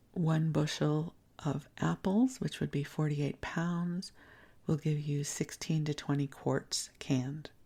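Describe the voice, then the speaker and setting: On a very clean recording with a silent background, a woman with an American accent speaks at a fairly slow pace in a very deep, low, somewhat breathy voice with a dark, mellow tone. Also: ordinary pitch variation. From US Midwest, Chicago. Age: 60s. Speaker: podcast host, spiritual teacher. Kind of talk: bedtime podcast storytime, casual reminiscence. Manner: soft-spoken; conversational.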